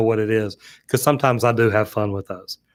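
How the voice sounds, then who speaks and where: A man with an American accent talks at a fairly quick pace in a very clean recording with a silent background. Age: 50s. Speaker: plumber and online plumbing educator. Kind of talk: live-stream chat reading viewer comments. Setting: studio. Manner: casual, conversational.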